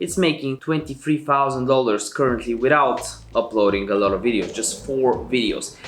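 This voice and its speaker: Music plays in the background as a man talks at a moderate pace with a non-native accent. His medium-pitched voice has lively intonation. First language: not English. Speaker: YouTube tutorial creator. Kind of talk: tutorial. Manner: casual.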